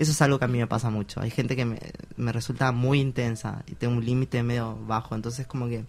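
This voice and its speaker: A normal speaking voice moves at a fairly quick pace with fairly even intonation on a very clean recording with a silent background. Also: man. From Argentina, small town. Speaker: interviewee. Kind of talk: interview testimony.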